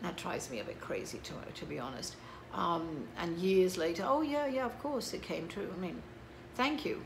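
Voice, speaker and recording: Very wide pitch swings and a fairly quick pace come through audible room echo and noticeable background noise. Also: woman. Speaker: psychic medium. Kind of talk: casual monologue to camera. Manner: hesitant with many fillers.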